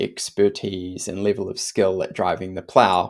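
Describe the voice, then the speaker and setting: Someone with a New Zealand accent speaks at a fairly slow pace on a very clean recording with a silent background. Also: man. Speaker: literature teacher. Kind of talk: lecture. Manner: casual conversational.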